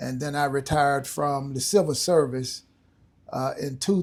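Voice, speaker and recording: In a very clean recording with a silent background, a man speaks in a Southern US accent at a fairly slow pace. His fairly high voice shows ordinary pitch variation. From North Carolina. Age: 70s. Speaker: retired military and civil service. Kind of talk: interview answer.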